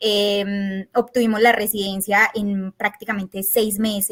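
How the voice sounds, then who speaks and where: The sound is dry and close, with no echo. It is a plain, everyday voice. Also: woman. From Colombia, Antioquia. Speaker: tax agent. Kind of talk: interview. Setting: podcast.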